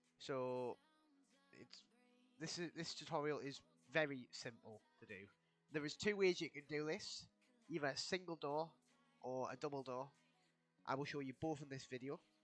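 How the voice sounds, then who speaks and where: A man with a fairly high pitch and ordinary pitch variation speaks with long, frequent pauses while music plays in the background. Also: moderate pace. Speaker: game tutorial creator. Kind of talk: video game tutorial narration. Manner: casual.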